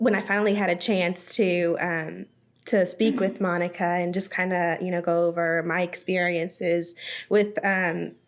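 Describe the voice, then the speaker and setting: Her voice is fairly low for a woman, and her intonation stays monotone and flat. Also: moderate pace. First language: Spanish. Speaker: bank member services manager. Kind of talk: podcast interview. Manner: frequent fillers and hesitations.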